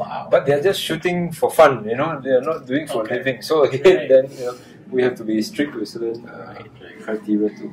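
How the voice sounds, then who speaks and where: A man talks at a very fast pace with lively intonation, a medium pitch and big swings in loudness. Background noise is noticeable. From Singapore. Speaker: electronics company executive. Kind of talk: interview. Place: meeting room. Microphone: lapel.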